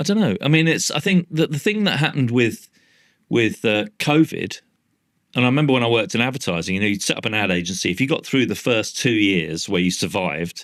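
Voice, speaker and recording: A man with a London accent talks very fast in an animated tone at a medium pitch. His pitch swings very widely, on a very clean recording with a silent background. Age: 60s. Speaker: artist and former advertising executive. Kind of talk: podcast interview. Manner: animated, casual with frequent swearing.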